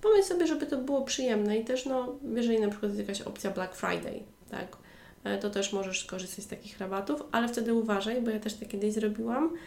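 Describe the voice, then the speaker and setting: A woman's fairly high voice at a very fast pace, with audible room echo and noticeable background noise. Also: ordinary pitch variation. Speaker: online language tutor and podcast host. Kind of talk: solo educational podcast monologue.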